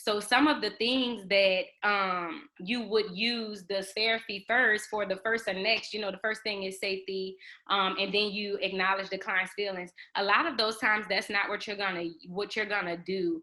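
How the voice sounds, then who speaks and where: A woman uses a normal speaking voice, keeping a medium pitch, a moderate pace and fairly even intonation. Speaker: exam prep tutor. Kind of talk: online study group teaching.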